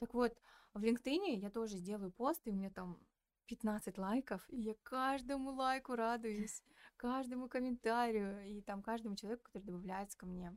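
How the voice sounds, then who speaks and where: A woman with a plain, everyday voice speaks at a moderate pace and a fairly high pitch with ordinary variation, in a dry, close sound with no echo. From Kazakhstan, Petropavlovsk. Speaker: communications specialist and podcast producer. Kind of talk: casual interview chat.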